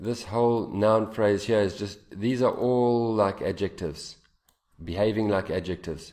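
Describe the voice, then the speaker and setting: With audible room echo, a man speaks at a moderate pace in a fairly low pitch, his tone dark and mellow and his intonation fairly even. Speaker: English teacher. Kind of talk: lecture.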